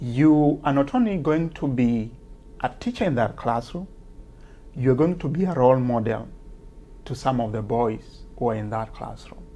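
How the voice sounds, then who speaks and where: With a strong Kenyan accent, a man talks at a moderate pace in a medium pitch, his dark, mellow tone broken by long, frequent pauses. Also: ordinary pitch variation. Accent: Kenyan accent, heavy. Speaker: teacher and author. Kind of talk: interview. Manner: hesitant, many fillers.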